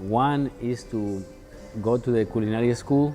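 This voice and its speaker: In a Mexican accent, the speaker talks very slowly with ordinary pitch variation as music plays behind. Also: man. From Mexico, Puebla. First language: Spanish. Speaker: chef. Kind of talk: interview. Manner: halting, many fillers.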